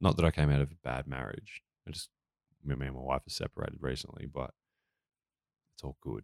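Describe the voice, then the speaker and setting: Speaking at a very fast pace yet with long, frequent pauses, a man with a very deep, low voice and vocal fry keeps fairly even intonation amid big swings in loudness, in a dry, close sound with no echo. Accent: Australian. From Australia, rural Victoria. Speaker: comedian and musician. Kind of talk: casual chat.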